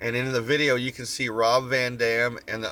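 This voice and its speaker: Relaxed yet bright, sharp tone from a man with an American accent, medium in pitch, at a moderate pace. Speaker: vlogger. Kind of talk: casual chat. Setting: in a van. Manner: relaxed, rambling with fillers.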